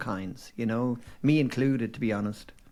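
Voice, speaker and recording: Here a man with a slight Dublin accent talks at a moderate pace, his dark, mellow voice at medium pitch with ordinary variation. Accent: mild Dublin. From Ireland, Dublin. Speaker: former advertising agency owner. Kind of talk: casual chat.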